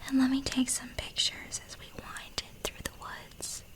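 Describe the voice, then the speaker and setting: Over noticeable background noise, the words come in a very slow whisper. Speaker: ASMR narrator. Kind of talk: narrating a reader's first-person woods encounter story. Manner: soft-spoken mixed with whispering.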